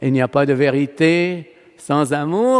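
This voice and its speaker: A man talks with ordinary pitch variation. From Palestine. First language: Arabic (speaking French). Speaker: priest. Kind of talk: sermon. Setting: church.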